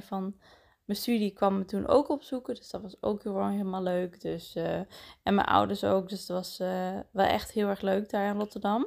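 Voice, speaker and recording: A woman at medium pitch and a moderate pace, monotone and flat, in a very clean recording with a silent background. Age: 20s. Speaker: podcast host. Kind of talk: casual monologue. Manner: halting, many fillers.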